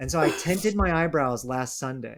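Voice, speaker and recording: This man has a plain, everyday voice with a fairly high pitch. He moves at a moderate pace with lively intonation. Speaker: podcast host. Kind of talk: casual chat.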